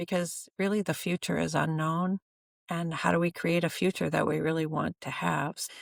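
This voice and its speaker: A woman at a moderate pace on a very clean recording, silent background. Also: dry, close sound with no echo. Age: 60s. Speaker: energy therapy practitioner and coach. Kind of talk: podcast interview. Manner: halting, many fillers and false starts.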